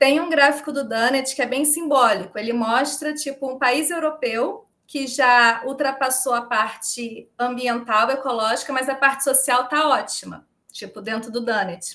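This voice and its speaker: Animated and projected, a woman's high-pitched voice has a bright, sharp tone and ordinary pitch variation. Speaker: volunteer organizer of a regenerative economics movement. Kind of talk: podcast interview. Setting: live-streamed video call. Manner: fast.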